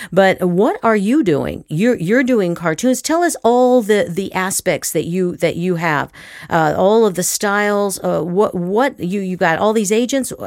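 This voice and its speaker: On a very clean recording with a silent background, a woman of medium pitch with a normal speaking voice talks at a fairly slow pace with lively intonation and hardly any pauses. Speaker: podcast host, actor and acting teacher. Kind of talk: casual interview chat.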